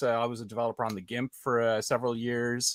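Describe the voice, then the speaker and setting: Speaking at a fairly quick pace, a man with an Irish accent has a bright, sharp tone. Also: dry, close sound with no echo. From Ireland. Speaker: software developer relations guest. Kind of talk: interview. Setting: video call.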